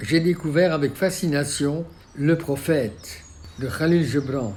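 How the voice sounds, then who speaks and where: Here a man talks at a very slow pace. His pitch varies in an ordinary way. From Belgium. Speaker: architect. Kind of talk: documentary memoir narration. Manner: passionate.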